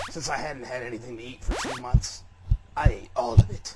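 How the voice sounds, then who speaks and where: A man uses a raspy, serious put-on character voice. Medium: solo performance. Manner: melodramatic, self-serious.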